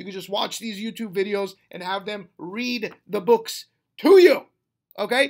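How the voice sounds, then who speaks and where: The voice is animated and moves at a moderate pace over a quiet background. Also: man. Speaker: real estate wholesaling coach and YouTuber. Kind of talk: motivational talk to camera. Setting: recorded without a microphone. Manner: loud, yelling. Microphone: webcam.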